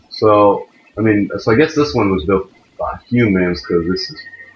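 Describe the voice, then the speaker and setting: A man talks at a fairly slow pace. Audible room echo and light background noise surround his voice. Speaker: gaming video creator. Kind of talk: let's play gameplay commentary. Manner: animated.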